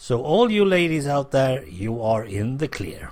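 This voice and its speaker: Somewhat breathy with lively intonation, a man speaks on a very clean recording with a silent background. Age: 60s. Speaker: podcaster. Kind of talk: casual monologue.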